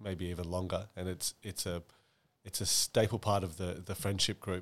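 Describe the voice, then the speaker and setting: On a very clean recording with a silent background, a man speaks at a very deep, low pitch in an Australian accent. His intonation is monotone and flat, at a moderate pace. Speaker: podcast host. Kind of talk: casual chat. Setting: apartment.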